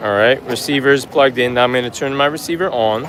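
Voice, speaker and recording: A man with an American accent speaks at a fairly quick pace in a fairly high pitch with ordinary pitch variation. Noticeable background noise runs under his voice. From New York. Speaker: travel vlogger. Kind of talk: live stream walking tour. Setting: outdoors on a busy street. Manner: loud; animated.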